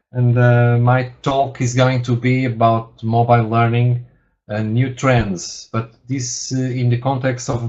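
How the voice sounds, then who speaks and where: A man with a Portuguese accent at a medium pitch. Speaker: university lecturer, researcher. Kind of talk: webinar presentation. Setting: webinar. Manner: halting, many fillers and repetitions.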